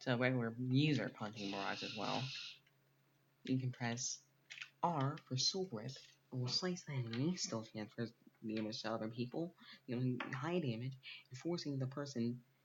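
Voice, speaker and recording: A man's somewhat breathy whisper at a moderate pace, broken by long, frequent pauses. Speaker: gaming video creator. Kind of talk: game tutorial. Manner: whispering; halting.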